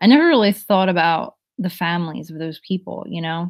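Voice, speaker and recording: With a New Jersey accent, a woman at medium pitch speaks at a moderate pace on a very clean recording with a silent background. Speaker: live streamer. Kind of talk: casual chat with live chat readers. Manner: loud.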